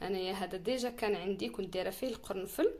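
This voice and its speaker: This woman speaks at a moderate pace in a medium pitch, with ordinary pitch variation. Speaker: beauty and hair care vlogger. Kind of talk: tutorial. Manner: casual, with frequent restarts.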